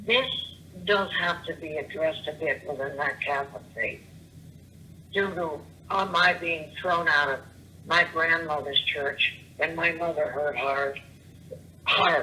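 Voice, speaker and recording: A woman's fairly low voice, broken by long, frequent pauses, over noticeable background noise. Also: ordinary pitch variation, fairly slow pace. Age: 70s; old. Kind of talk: voicemail rant. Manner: rambling, scattered.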